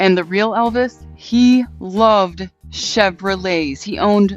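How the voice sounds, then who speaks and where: Music plays in the background. A woman speaks at a medium pitch with ordinary variation. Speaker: automotive show host. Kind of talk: storytelling narration to camera.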